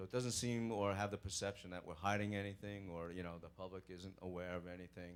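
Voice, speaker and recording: Here a man talks in a Brooklyn accent with a very deep, low pitch. His intonation is fairly even and his pace fairly quick. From New York (Brooklyn). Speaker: police sergeant. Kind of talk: Q&A talk at church program. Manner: hesitant, many fillers.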